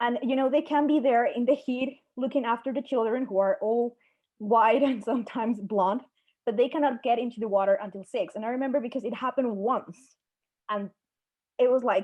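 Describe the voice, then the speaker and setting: Her voice is high, with a Spanish accent. The woman talks at a fairly quick pace with fairly even intonation. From Peru. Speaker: national security analyst. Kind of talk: panel discussion.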